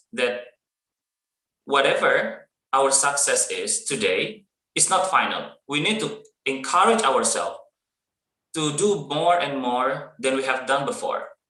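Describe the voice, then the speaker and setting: Audible room echo surrounds a man who speaks at a fairly slow pace with long, frequent pauses. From Indonesia, East Java. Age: 30s. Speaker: teacher, webinar speaker. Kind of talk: motivational talk. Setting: online webinar.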